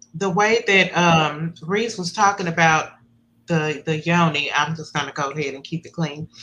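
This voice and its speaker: A woman's unremarkable speaking voice, fairly low in pitch, with ordinary pitch variation, a moderate pace and big swings in loudness. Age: 50s. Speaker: podcast host. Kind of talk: interview.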